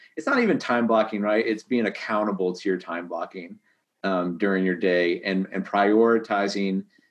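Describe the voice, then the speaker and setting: A man's normal speaking voice at a fairly low pitch, fairly even in intonation, at a fairly quick pace. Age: 30s. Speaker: real estate agent. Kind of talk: casual chat.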